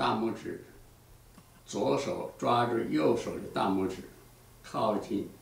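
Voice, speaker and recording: A man talks at a very slow pace. Audible room echo surrounds his voice. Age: 80s+. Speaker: exercise instructor; exercise teacher. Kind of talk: tutorial. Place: empty room. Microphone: camera far.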